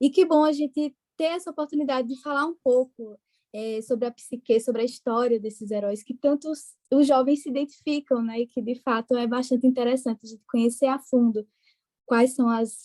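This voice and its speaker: A moderately paced voice in a Pernambuco accent, with big swings in loudness, fairly even intonation, a dark, mellow tone and a dry, close sound with no echo. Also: woman, high pitch for a woman. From Brazil, interior of Pernambuco. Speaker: psychologist. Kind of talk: podcast interview. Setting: podcast recording.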